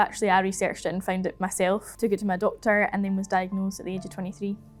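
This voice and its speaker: A woman's medium pitch in a Scottish accent with monotone, flat intonation, over music in the background. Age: 20s. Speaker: healthcare equality manager. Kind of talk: documentary interview.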